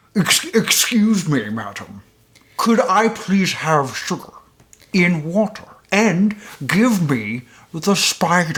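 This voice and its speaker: This is a put-on character voice at a middle pitch. The pace is very slow, with long, frequent pauses. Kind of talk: very proper. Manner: prim, polite.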